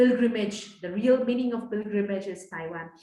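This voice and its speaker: Speaking with a Nepali accent, a woman keeps a medium pitch and moderate pace with fairly even intonation, with audible room echo. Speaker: guest speaker. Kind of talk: personal testimony talk. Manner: hesitant, many fillers.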